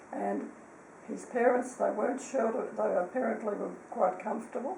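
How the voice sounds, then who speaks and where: Moderately paced speech from a woman, with audible room echo and noticeable background noise. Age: 80s+. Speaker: elderly relative recalling family history. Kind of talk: casual chat.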